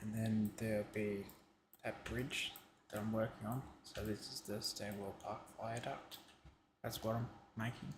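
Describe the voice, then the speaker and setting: A man whispers quietly in a somewhat breathy voice, speaking at a fairly slow pace with long, frequent pauses. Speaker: streamer building a game map. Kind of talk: casual live-stream commentary. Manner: whispering, quiet.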